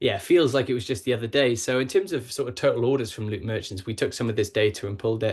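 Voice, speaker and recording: Somewhat breathy and medium-pitched, a man with a British accent talks very fast with hardly any pauses and ordinary pitch variation over a quiet background. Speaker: logistics partnerships manager. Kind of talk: webinar presentation. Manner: hesitant, many fillers.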